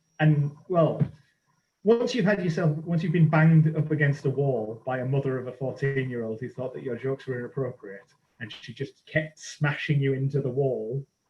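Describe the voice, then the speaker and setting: Somewhat breathy, with a dark, mellow tone, a man talks at a moderate pace in a fairly high pitch and ordinary pitch variation. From northern England, Middlesbrough. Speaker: archaeologist and comedian. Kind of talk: casual chat. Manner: animated.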